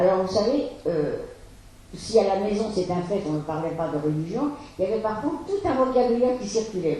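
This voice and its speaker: Through noticeable background noise and audible room echo, a woman of medium pitch speaks fairly quickly with lively intonation. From France, Paris. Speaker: Holocaust survivor. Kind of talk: testimony. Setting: school talk to students.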